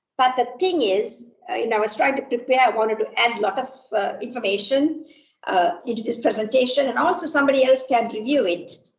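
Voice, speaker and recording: In a room with audible echo, a woman talks at a fairly quick pace with lively intonation and a high pitch. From Sri Lanka. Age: 60s. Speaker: computer science professor. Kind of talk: lecture. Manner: halting, many fillers.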